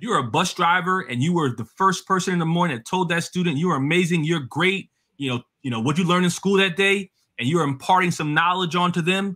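Against a quiet background, a man with a New Jersey accent speaks very fast in a high, bright, sharp and animated tone. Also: ordinary pitch variation. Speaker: education policy expert, adjunct professor. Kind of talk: interview. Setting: video call. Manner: fast talker. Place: home room.

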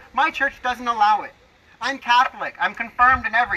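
A man's extremely high-pitched, raised and projected voice at a moderate pace. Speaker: political speaker. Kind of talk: scripted political speech. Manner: some stuttering. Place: open country. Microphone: camera far.

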